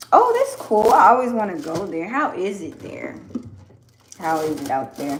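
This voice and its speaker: A woman with a Southern US accent at a moderate pace, big swings in loudness, audible room echo and noticeable background noise. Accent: Southern US (Georgia). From US South, Georgia. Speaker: farmer and soap maker livestreaming. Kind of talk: casual livestream chat with viewers. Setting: home livestream while washing carrots. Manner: casual, with hesitations and repetitions.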